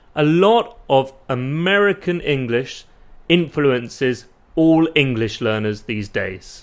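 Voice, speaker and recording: In a British accent, a man talks at a very slow pace. His fairly high pitch moves in very wide swings. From UK. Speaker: English teacher. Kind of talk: tutorial. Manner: clear and deliberate.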